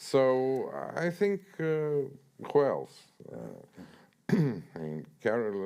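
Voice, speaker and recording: Speaking very slowly with a Russian accent, a man leaves long, frequent pauses. His tone is dark and mellow, with very wide pitch swings. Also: medium pitch for a man. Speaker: author. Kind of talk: author talk interview. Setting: stage with audience. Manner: halting, many fillers and repetitions.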